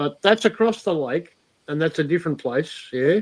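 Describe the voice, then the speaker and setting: With an Australian accent, a man talks fairly quickly at a fairly high pitch and with lively intonation. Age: 50s. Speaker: live streamer. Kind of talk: casual chat.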